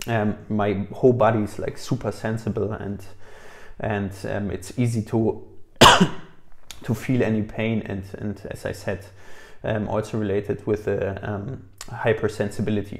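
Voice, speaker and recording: A man's somewhat breathy, dark, mellow voice at a moderate pace, flat and monotone, with long, frequent pauses. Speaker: chronically ill person sharing health experience. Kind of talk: casual talk to camera. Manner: hesitant, many filler words.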